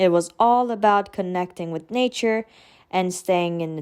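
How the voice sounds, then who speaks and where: A woman's medium-pitched voice with a Turkish accent and ordinary pitch variation, on a very clean recording with a silent background. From Turkey (Istanbul). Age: 20s. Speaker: vlogger. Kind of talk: personal vlog narration.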